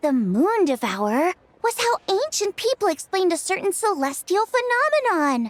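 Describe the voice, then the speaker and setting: A woman puts on a character voice with an extremely high pitch and very wide swings in pitch, recorded dry and close with no echo. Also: moderate pace, very even loudness. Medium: video game. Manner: energetic.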